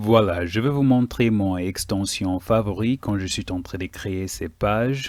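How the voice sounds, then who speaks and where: With a non-native accent, a man of fairly low pitch speaks at a very slow pace with hardly any pauses, on a very clean recording with a silent background. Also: ordinary pitch variation. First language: not French (speaking French). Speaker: web development teacher. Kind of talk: tutorial. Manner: hesitant, many fillers.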